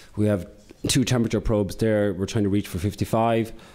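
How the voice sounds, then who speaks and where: A man with an Irish accent speaks at a fairly quick pace in a fairly low pitch, his dark, mellow tone held in a monotone, flat intonation on a very clean recording with a silent background. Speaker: corporate sustainability manager. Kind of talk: conference presentation. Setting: conference with audience. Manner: fast.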